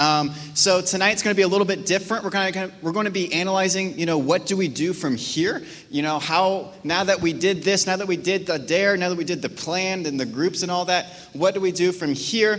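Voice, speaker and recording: There is audible room echo around a man talking at a fairly quick pace. His voice is high-pitched with fairly even intonation. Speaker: youth pastor. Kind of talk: sermon. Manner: casual, halting.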